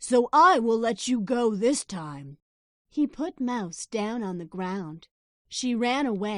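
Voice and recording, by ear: Reading aloud in a natural voice, the speaker shows ordinary pitch variation with a quiet background.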